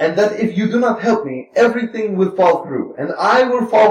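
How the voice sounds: The delivery is a natural reading voice. Pitch moves up and down in an ordinary way.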